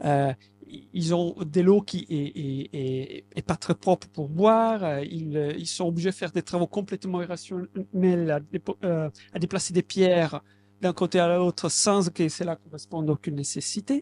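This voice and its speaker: A man's high-pitched voice in an Italian accent, fairly slow, with ordinary pitch variation and a dry, close sound with no echo. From southern Italy, Basilicata. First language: Italian (speaking French). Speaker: translator. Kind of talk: public talk. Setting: bookshop event with audience. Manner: halting.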